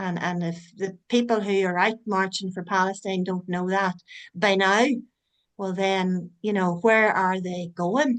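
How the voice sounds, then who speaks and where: Speaking in an Irish accent, the voice moves at a fairly slow pace with fairly even intonation. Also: woman, medium pitch for a woman. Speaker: online forum host. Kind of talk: closing remarks in online meeting.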